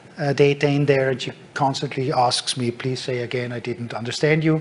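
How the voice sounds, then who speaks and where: Noticeable background noise sits behind a man speaking at a moderate pace. His medium pitch follows fairly even intonation. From Germany. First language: German. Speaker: tech company speaker. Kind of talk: conference talk. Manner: hesitant with fillers.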